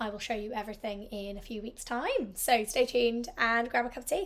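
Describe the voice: A woman at a fairly quick pace, fairly high-pitched, with ordinary pitch variation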